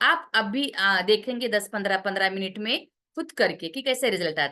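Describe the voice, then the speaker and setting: A woman's bright, sharp voice with very wide pitch swings and big swings in loudness. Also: medium pitch for a woman, moderate pace. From Maharashtra, India. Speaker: therapy teacher and parlour owner. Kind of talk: online class pitch. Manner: halting with many fillers.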